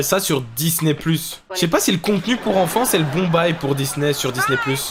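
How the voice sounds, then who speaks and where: Speaking with hardly any pauses, a man with a high pitch keeps his loudness very even and his pitch variation ordinary, while noticeable background noise runs underneath. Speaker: YouTube reaction host. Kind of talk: casual reaction commentary. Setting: wearing headphones while watching. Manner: casual.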